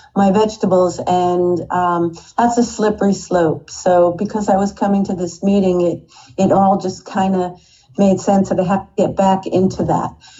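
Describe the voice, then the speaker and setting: Her voice is somewhat breathy, set at a medium pitch. The woman keeps a moderate pace. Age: 60s. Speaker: recovery meeting member sharing story. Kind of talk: testimony. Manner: halting.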